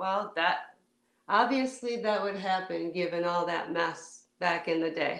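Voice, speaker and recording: A woman speaks at medium pitch and a fairly slow pace, with ordinary pitch variation. Audible room echo fills the recording. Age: 50s. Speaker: parent of estranged adult children. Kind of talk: interview about personal experience.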